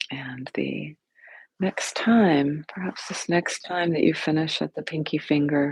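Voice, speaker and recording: Soft-spoken, a woman talks at a fairly slow pace with a very deep, low pitch, vocal fry and ordinary pitch variation. The sound is dry and close with no echo. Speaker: yoga and meditation teacher. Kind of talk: guided meditation.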